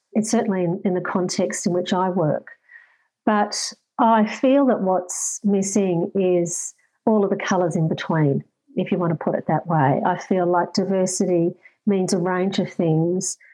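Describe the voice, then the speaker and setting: In a quiet background, a woman with an Australian accent speaks at a moderate pace, her medium-pitched voice dark and mellow in tone with fairly even intonation. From far north Queensland, Australia. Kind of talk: interview.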